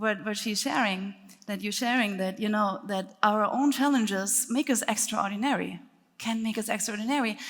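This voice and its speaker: Somewhat breathy speech in a German accent, at a moderate pace with fairly even intonation. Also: woman, fairly high pitch for a woman. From Germany. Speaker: speaker and breathwork teacher. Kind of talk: workshop talk.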